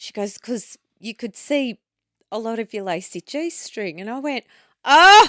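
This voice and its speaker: An Australian woman speaks at a fairly slow pace in a bright, sharp tone with a fairly high pitch and big swings in loudness. The recording is very clean, with a silent background and a dry, close sound with no echo. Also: lively intonation. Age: 40s. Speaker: podcast co-host. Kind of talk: casual chat. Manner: animated.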